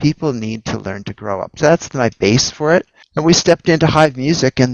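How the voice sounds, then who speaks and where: This man has an unremarkable speaking voice, talking at a moderate pace with lively intonation. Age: 60s. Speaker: entrepreneur and investor. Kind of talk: casual chat.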